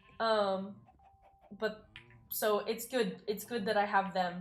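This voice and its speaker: This is an unremarkable speaking voice from a woman at medium pitch. She goes at a fairly slow pace. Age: 20s. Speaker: streamer. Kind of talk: casual chat. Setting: live stream.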